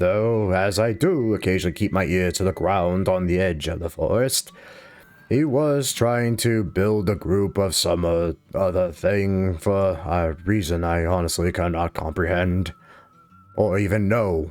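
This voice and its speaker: A man puts on a character voice, pitched very deep and low, and delivers it at a moderate pace. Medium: actual play. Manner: grandfatherly, crotchety, wry.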